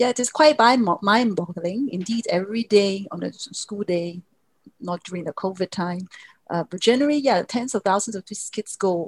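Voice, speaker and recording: Somewhat breathy and at a medium pitch, a woman speaks at a moderate pace with ordinary pitch variation and big swings in loudness, in a dry, close sound with no echo. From Hong Kong. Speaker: geography professor. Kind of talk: interview.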